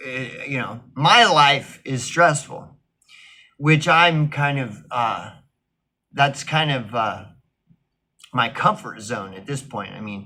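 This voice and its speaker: Speaking at a very slow pace, a man with a fairly high pitch and bright, sharp tone uses lively intonation. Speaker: vlogger. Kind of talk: casual monologue. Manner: loud; halting, many fillers and restarts.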